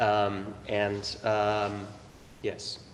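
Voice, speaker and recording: There is audible room echo around a man's fairly low-pitched voice. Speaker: dancer and choreographer. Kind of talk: panel discussion.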